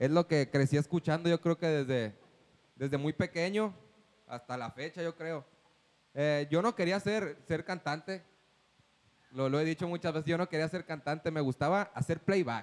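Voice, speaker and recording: A man's fairly high voice at a moderate pace, ordinary pitch variation, long and frequent pauses, and a dry, close sound with no echo. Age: 20s. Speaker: singer. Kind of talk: casual chat.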